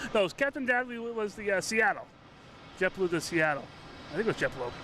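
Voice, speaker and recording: A man's raised, projected voice with an American accent, high in pitch, lively in intonation, at a fairly quick pace. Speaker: plane-spotting livestreamer. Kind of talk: live commentary. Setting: outdoors, airport parking garage roof. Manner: casual, conversational.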